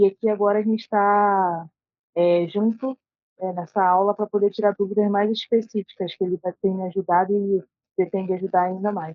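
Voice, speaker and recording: This woman speaks at a moderate pace with a medium pitch. Her intonation is monotone and flat. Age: 20s. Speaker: jiu-jitsu brown belt student. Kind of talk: casual chat, asking questions. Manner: hesitant, many fillers.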